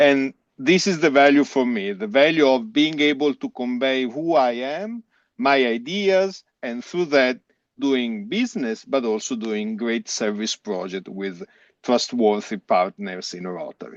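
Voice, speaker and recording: A man's medium-pitched voice with very wide pitch swings at a fairly slow pace, dry and close with no echo, over a quiet background. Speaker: club member. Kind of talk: panel discussion.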